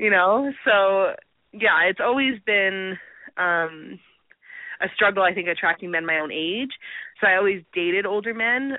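A woman with a western Canadian accent speaks at a medium pitch with ordinary pitch variation. Her loudness swings widely. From Canada, Alberta. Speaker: adult film performer. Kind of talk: casual interview.

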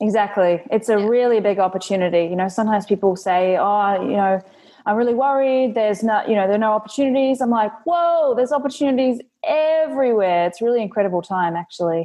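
In a New Zealand accent, a woman talks at a very fast pace with a fairly high pitch and lively intonation. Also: very even loudness. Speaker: content marketing agency owner. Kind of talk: interview.

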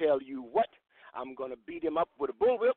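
Very wide pitch swings from a man with an American accent. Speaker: wrestling manager. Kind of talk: wrestling promo, menacing Southern-style threat rant. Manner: loud, snarling and taunting; boastful, swaggering heel bravado.

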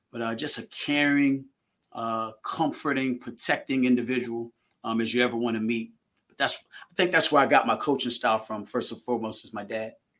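There's an ordinary speaking voice here, a man going at a fairly quick pace with fairly even intonation and big swings in loudness. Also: medium pitch for a man. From Virginia. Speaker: track coach. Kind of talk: casual chat.

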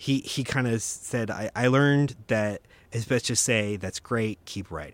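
A man talks at a moderate pace at a medium pitch. He has an unremarkable speaking voice with ordinary pitch variation. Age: 40s. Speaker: film director and writer. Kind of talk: casual chat. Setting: studio.

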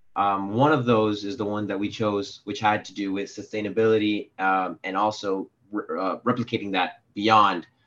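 An ordinary speaking voice with an American accent moves at a moderate pace, with hardly any pauses and fairly even intonation. The loudness swings widely against a quiet background. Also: man, fairly low pitch for a man. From Miami, Florida. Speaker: graduate student. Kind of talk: product pitch. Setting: video call.

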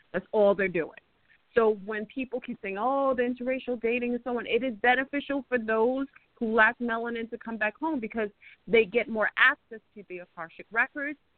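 With an American accent, a woman speaks fairly quickly at a fairly high pitch, her pitch varying in an ordinary way and her loudness swinging widely. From New York, French Antilles roots. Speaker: guest, holistic practitioner. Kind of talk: interview discussion. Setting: phone or online call. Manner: fast talker.

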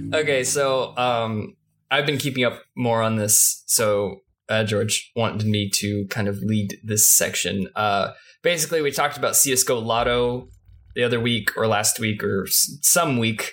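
Recorded very cleanly against a silent background, a man talks in an unremarkable speaking voice at a medium pitch with ordinary pitch variation. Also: moderate pace, very even loudness. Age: 20s. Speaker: podcast co-host. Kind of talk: casual chat.

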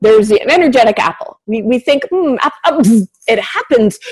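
Her voice is pitched high. The woman's pitch jumps across a very broad range. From small town. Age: 40s. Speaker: spiritual medium and channel. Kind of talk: interview. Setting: radio show, pre-recorded. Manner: talkative.

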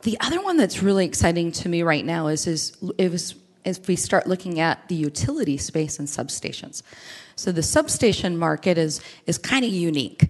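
Here is a woman with a normal speaking voice at a fairly low pitch. Her pitch variation is ordinary and her pace moderate. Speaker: IoT partnerships director. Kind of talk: interview. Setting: live at a conference.

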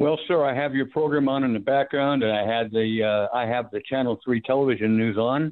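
A man's normal speaking voice at medium pitch, fairly quick and with hardly any pauses, very even in loudness, with fairly even intonation. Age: 60s. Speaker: caller, retired diesel mechanic. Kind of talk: radio call-in. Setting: phone call.

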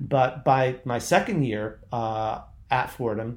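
Speaking in a normal speaking voice, the man holds a medium pitch with fairly even intonation. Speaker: poet and magazine editor. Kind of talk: interview.

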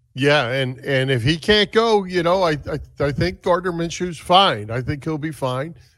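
A man with a normal speaking voice and an American accent, fairly high-pitched, at a moderate pace with lively intonation, on a very clean recording against a silent background. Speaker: sports radio host. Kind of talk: casual sports talk. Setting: studio, streamed live on Facebook.

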